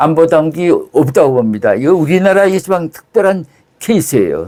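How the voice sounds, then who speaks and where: A man's high-pitched voice with a dark, mellow tone and lively intonation. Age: 80s+. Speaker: retired intelligence officer. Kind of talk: interview. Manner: halting.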